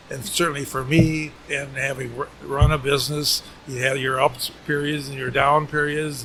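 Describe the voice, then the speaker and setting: A man with an American accent and a fairly high pitch, monotone and flat, at a moderate pace with hardly any pauses, amid noticeable background noise. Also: big swings in loudness. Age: 80s+. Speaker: retired business owner. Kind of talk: casual interview. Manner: halting, repeats words.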